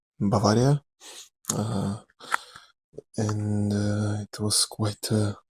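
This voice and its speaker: Music plays in the background while a man speaks, the sound dry and close with no echo. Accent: Russian. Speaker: actor. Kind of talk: rambling ASMR talk to camera. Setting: lo-fi recording.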